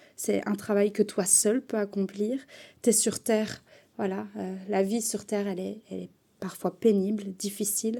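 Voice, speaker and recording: A woman speaks fairly slowly at a medium pitch in a dark, mellow tone and a monotone, flat intonation, on a very clean recording with a silent background. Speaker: tarot card reader. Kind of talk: tarot reading.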